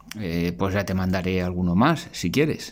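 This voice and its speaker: The speaker is a man. He talks at a moderate pace. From Spain. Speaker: artisan and amateur writer. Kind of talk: recorded voice message. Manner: halting, repeats words.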